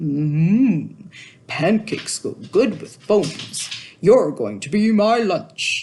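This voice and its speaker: A woman's put-on character voice at medium pitch, delivered at a very slow pace. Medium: read story.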